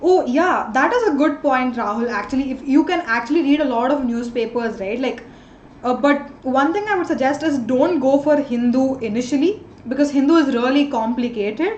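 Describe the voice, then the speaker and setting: At a moderate pace, a woman with an Indian accent speaks with high pitch and ordinary pitch variation, over audible room echo and noticeable background noise. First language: an Indian language. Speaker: online tutor. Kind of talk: live online class.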